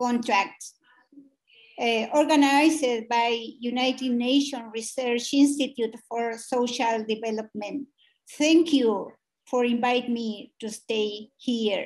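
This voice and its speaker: A woman with a Chilean accent speaks at a high pitch. Her pace is very slow and her intonation fairly even. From Chile, Mapuche community. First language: Mapudungun. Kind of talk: formal panel speech. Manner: halting.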